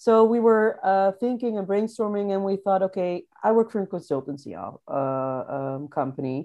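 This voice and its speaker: A woman with a Dutch accent, a dark, mellow tone and lively intonation, at a moderate pace with hardly any pauses against a quiet background. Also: medium pitch for a woman. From Netherlands, Rotterdam. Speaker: remote-working traveler. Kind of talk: interview, casual chat. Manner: hesitant, many fillers.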